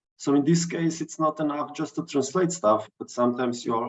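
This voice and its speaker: A man with a Slovenian accent. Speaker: digital artist. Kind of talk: artist talk. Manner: halting.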